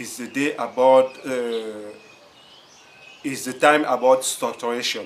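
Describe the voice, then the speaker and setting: A man with a non-native accent, medium in pitch with ordinary variation, at a very slow pace. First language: French. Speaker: writing coach. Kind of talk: tutorial. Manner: halting, with many repetitions.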